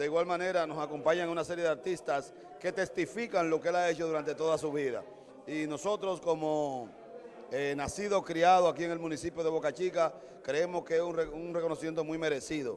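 There is light background noise as a man speaks at a fairly quick pace. His intonation stays fairly even. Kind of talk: interview answer. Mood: celebratory, praising. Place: hall. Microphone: handheld.

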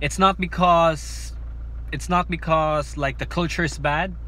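The sound of this man's voice is dry with no echo, with light background noise behind it. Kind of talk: casual vlog chat. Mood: reflective, candid about failing. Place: car. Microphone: phone near.

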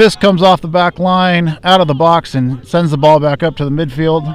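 With a relaxed tone, a man speaks in a high pitch with ordinary pitch variation, the sound dry with no echo. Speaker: high school soccer commentator. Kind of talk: live commentary. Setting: outdoors at a soccer field, streaming live. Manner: relaxed, conversational, casual asides between plays. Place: stadium. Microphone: camera far.

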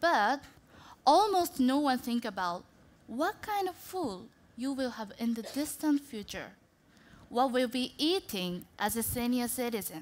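The speech moves at a fairly slow pace with very wide pitch swings. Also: woman, high pitch for a woman. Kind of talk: prepared talk. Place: stage. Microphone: headset.

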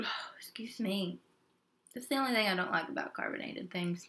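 Soft-spoken woman with lively intonation at a moderate pace. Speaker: mukbang video creator. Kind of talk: casual talk to camera while eating. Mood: friendly and chatty. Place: home room. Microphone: webcam.

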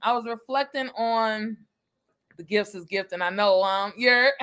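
Speaking at a fairly slow pace, a woman uses a fairly high pitch and fairly even intonation in a fairly bright tone.

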